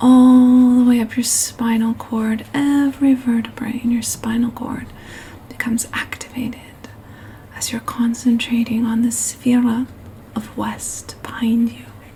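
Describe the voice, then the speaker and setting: A soft-spoken woman with a high, monotone, flat voice at a fairly slow pace, her loudness swinging widely over noticeable background noise. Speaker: meditation guide. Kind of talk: guided meditation. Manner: soft-spoken, slow.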